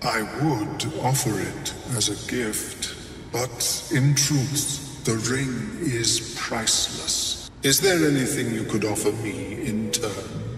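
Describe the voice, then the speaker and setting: A man puts on a character voice at medium pitch, talking at a very slow pace with hardly any pauses. Clear echo and clear background noise surround him. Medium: video game. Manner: formal, measured.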